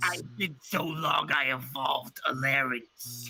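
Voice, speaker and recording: Someone puts on a raspy character voice and talks at a fairly slow pace. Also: man, medium pitch for a man. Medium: actual play. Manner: cranky old-timer griping.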